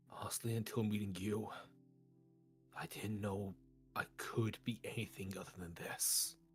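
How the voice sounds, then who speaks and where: A man speaks in a put-on character voice, pitched fairly low, with long pauses that come often. Music plays clearly in the background. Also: moderate pace. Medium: actual play. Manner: earnest, troubled.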